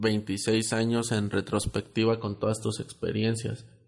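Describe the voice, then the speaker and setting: A man's medium-pitched voice in a flat monotone. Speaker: podcast host. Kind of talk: casual chat.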